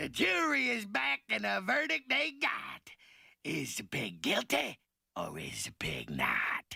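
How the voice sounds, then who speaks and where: Using a cartoonish character voice, a man speaks high-pitched at a fairly slow pace. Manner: dismissive.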